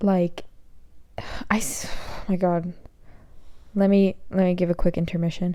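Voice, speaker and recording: Her voice fairly low and her tone dark and mellow, a woman speaks in a flat monotone at a fairly slow pace with long, frequent pauses. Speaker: podcast host. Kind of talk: casual chat. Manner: frequent filler 'like'.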